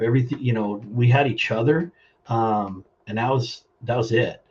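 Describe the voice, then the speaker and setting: At a fairly slow pace, the voice comes across somewhat breathy, with fairly even intonation. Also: man. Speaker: plumbing business owner. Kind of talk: interview. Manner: halting.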